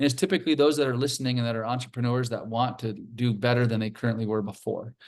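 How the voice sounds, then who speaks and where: Against a quiet background, a man talks very fast at a medium pitch with ordinary pitch variation. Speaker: self-directed retirement account specialist. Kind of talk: webinar presentation. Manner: halting.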